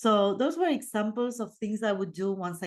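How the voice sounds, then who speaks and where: Delivery comes at a moderate pace in an Argentine accent, with lively intonation. The background is quiet. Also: woman. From Argentina. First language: Spanish. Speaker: podcast host and life coach. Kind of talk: casual monologue podcast. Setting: video recording. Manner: casual, unedited.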